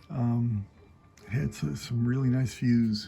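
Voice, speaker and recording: A man speaks quietly and very slowly, his voice somewhat breathy. His pitch is medium, with ordinary pitch variation. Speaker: travel vlogger walking the Camino. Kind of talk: casual vlog chat. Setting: indoors at pilgrim lodging, evening. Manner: hushed, keeping voice down.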